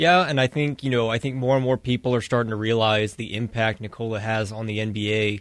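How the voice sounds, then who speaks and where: At a fairly quick pace, a man talks in an ordinary speaking voice with a medium pitch and fairly even intonation. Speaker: co-host sports analyst. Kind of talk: casual sports talk.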